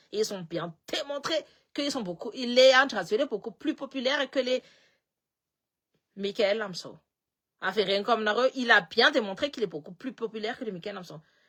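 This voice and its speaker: A woman with a fairly high pitch speaks at a moderate pace in a bright, sharp, animated tone with lively intonation. Her loudness swings widely, and long, frequent pauses break up her speech. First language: Malagasy (speaking French). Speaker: political commentator. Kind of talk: political commentary live stream.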